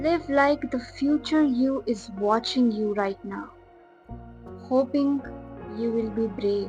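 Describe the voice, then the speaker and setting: With music in the background, a woman speaks very slowly in a calm tone, her high pitch showing ordinary variation. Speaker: video creator / narrator. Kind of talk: reflective motivational voiceover. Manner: calm, soft-spoken.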